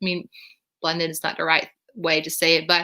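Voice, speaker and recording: A woman speaks with a Dutch accent. Her tone is bright and sharp. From northern Netherlands. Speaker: vlogger. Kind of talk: live stream Q&A. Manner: hesitant with many fillers.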